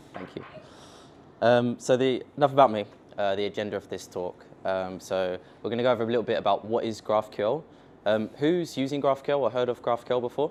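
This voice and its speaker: A man with a London accent speaks at a medium pitch. His pace is moderate, with light background noise. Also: ordinary pitch variation. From England, London. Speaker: software company founder, tech speaker; speaker. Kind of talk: conference tech talk. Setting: stage with audience at meetup. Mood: casual, joking. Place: meeting room.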